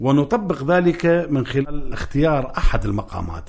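Noticeable background noise accompanies a man whose speech is fairly slow. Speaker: Iraqi maqam singer and researcher. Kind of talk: radio interview, explanatory.

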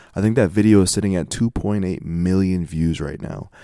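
On a very clean recording with a silent background, a man with an American accent speaks in a very deep, low pitch and a dark, mellow tone. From Denver, US. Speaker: podcast host. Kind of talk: casual interview chat. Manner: fast talker.

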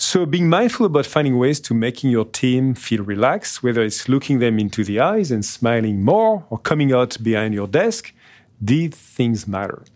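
Lively intonation marks this moderate-paced voice with a French accent. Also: man, medium pitch for a man. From France, Nice. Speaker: podcast host, business executive. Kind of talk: scripted narration; interview.

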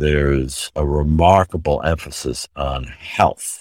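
A man's very deep, low voice with an American accent and fairly even intonation, dry and close with no echo. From New York City. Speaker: retired healthcare executive. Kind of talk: interview.

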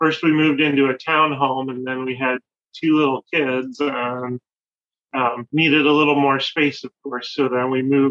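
Flat and monotone, a man with a Chicago accent speaks at a fairly high pitch and a moderate pace. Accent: Chicago-area American. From US Midwest, Chicago suburbs. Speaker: spoon carver. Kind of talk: casual chat.

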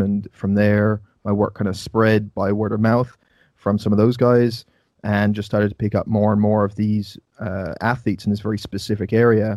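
Monotone and flat, a man with an Irish accent speaks at a moderate pace in a fairly low pitch. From Ireland. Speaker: nutrition coach and podcast host. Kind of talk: casual interview. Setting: video call.

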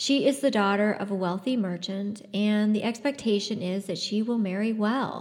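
Simply plain reading aloud.

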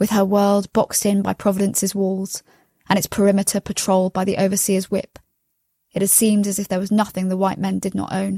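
A woman with a dark, mellow tone and a somewhat breathy voice speaks at a medium pitch and a fairly quick pace, her intonation monotone and flat. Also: dry, close sound with no echo. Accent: London. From London, England. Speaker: novelist. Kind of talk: reading aloud.

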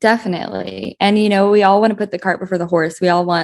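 Using a plain, everyday voice, a woman talks at a fairly quick pace with fairly even intonation. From southeastern Colorado. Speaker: horse business marketing manager. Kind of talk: interview.

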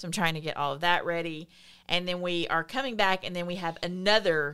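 This voice carries a Southern US accent with ordinary pitch variation. The pace is moderate, and the recording is very clean with a silent background. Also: woman. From US South.

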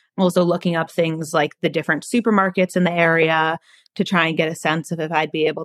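In a very clean recording with a silent background and a dry, close sound with no echo, a woman with a normal speaking voice talks at a moderate pace in a fairly low pitch with fairly even intonation. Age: 20s. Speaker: recent college graduate with food allergies. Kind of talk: interview.

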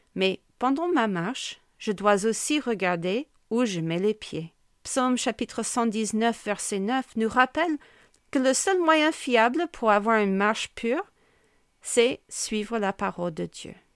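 Very slowly and with lively intonation, a fairly high-pitched woman speaks on a very clean, dry and close recording with no echo and a silent background. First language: English (speaking French). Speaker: pastor's wife and podcast host. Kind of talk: devotional teaching.

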